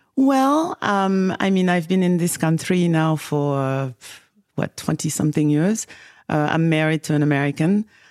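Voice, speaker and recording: A woman with a West African French accent speaks at a moderate pace in a very clean recording with a silent background and a dry, close sound with no echo. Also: fairly low pitch for a woman, lively intonation, very even loudness. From Senegal, West Africa. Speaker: tech company CEO. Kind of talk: casual interview conversation. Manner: hesitant, many fillers.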